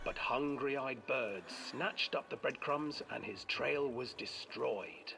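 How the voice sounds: A man talks slowly at a medium pitch with ordinary pitch variation. His tone is bright and sharp, with vocal fry.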